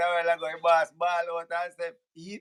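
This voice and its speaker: A high-pitched man with a Jamaican accent, in a dry, close sound with no echo. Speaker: live show host. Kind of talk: live stream call-in. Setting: live stream.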